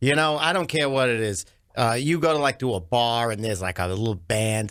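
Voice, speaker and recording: On a very clean recording with a silent background, a man with a Brooklyn accent talks at a fairly quick pace and medium pitch with lively intonation. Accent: Brooklyn New York. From Brooklyn, New York. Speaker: comedian. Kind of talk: radio interview. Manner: animated.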